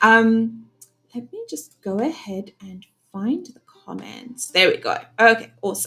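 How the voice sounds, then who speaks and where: Lively in intonation, a woman with a South African accent talks at a fairly high pitch and a fairly slow pace. Her loudness swings widely. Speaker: webinar host. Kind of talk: live webinar chat. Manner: casual, many filler words.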